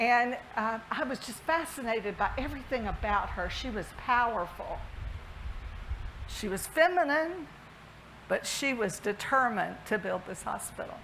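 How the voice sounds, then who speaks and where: A woman in a Southern US accent speaks at a moderate pace with a fairly high pitch and lively intonation, with room echo audible. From US South, Alabama. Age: 60s. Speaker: health system CEO. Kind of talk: keynote speech.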